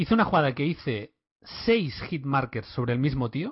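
A somewhat breathy man talks at a moderate pace. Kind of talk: casual chat.

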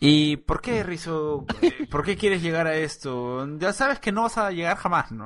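Lively intonation from a man with a high voice, at a fairly slow pace. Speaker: podcast host. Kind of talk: casual chat.

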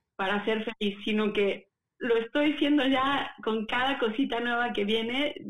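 Fairly slow delivery with ordinary pitch variation and very even loudness. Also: woman, fairly high pitch for a woman. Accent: Mexican. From Puebla, Mexico. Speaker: opera singer. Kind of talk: casual interview.

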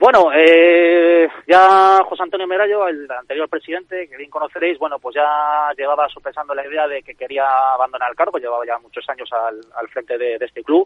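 A man speaks at a moderate pace with hardly any pauses, ordinary pitch variation and big swings in loudness. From Valladolid, Spain. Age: 30s. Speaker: youth football club president. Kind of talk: radio interview. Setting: phone call. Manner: hesitant, many fillers.

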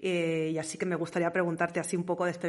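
The intonation stays monotone and flat. It's a woman talking. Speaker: podcast host. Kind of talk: scripted monologue.

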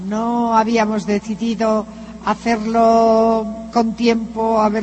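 There is noticeable background noise. Through it, a woman talks at a fairly high pitch. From northern Spain (Santander). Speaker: motivational speaker, businesswoman. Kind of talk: motivational talk. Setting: stage with audience.

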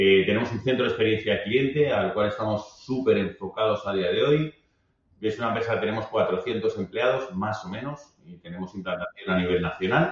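Somewhat breathy, a man with a fairly low pitch talks at a moderate pace. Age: 50s. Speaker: business executive. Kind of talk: interview conversation.

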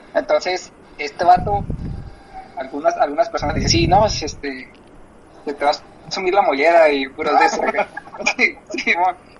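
Amid noticeable background noise, a man with a Mexican accent speaks at a moderate pace with long, frequent pauses. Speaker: podcast co-host, physician. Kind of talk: casual chat.

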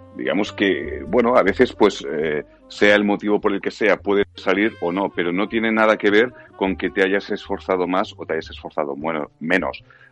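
Over noticeable background noise, a man talks at a moderate pace with a fairly low pitch and ordinary pitch variation. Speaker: voice actor. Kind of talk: casual chat.

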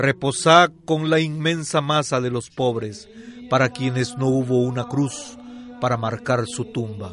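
Over noticeable background noise, a man speaks at a medium pitch and a fairly slow pace in a solemn tone, with ordinary pitch variation. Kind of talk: poetry reading, solemn elegy read aloud. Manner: solemn, measured, tender; lyrical, reverent.

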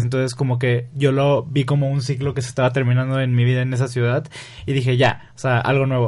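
At a very fast pace, a man talks in a medium-pitched, somewhat breathy voice. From Mexico, Río Verde, San Luis Potosí. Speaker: content creator and photographer. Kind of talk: casual interview.

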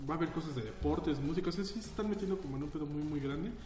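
Talking at a very fast pace, a man with a fairly high pitch is heard amid noticeable background noise and audible room echo. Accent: Mexican. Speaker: podcast host. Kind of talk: casual chat.

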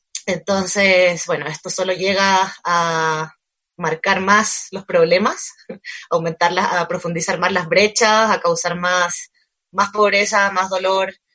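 Speaking very slowly, a woman keeps her intonation monotone and flat. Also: medium pitch for a woman. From Chile. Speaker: cultural manager, book fair organizer. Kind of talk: casual interview chat. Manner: halting, many fillers and repetitions.

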